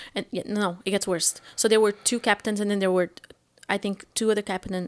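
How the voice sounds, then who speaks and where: Very fast female speech with a Portuguese accent and a dry, close sound with no echo. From Portugal. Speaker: stand-up comedian. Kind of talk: interview answer.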